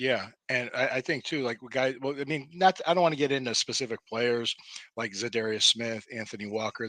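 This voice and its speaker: A man with an American accent, a bright, sharp tone and a fairly quick pace, in a dry, close sound with no echo. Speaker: sports talk show host. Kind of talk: casual sports talk interview.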